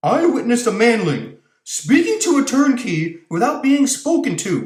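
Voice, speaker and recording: A man does a whiny, put-on character voice at an extremely high pitch. He keeps a moderate pace, with a slight echo. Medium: read story.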